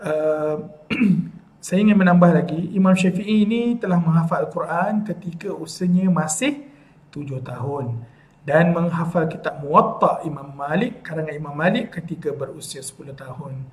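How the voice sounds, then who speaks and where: The speaker talks at a moderate pace. The pitch varies in an ordinary way. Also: man, high pitch for a man. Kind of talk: sermon. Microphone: webcam.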